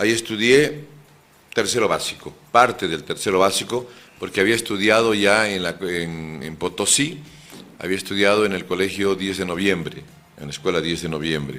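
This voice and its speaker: The tone is bright and sharp, with ordinary pitch variation. Delivery comes at a moderate pace. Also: man, fairly low pitch for a man. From Bolivia, moved around mining regions. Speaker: lawyer and political candidate. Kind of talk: radio interview.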